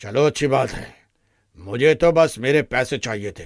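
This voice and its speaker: A man puts on a raspy character voice at medium pitch, with ordinary pitch variation and a moderate pace. His loudness swings widely on a very clean recording with a silent background. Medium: cartoon. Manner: rude, bullying.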